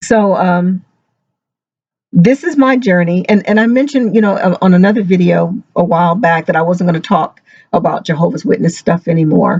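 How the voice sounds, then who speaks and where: This woman talks at a fairly quick pace in a medium pitch, somewhat breathy. Her loudness stays very even, and her pitch varies in an ordinary way. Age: 60s. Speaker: ex-Jehovah's Witness vlogger. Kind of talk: personal testimony vlog. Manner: halting.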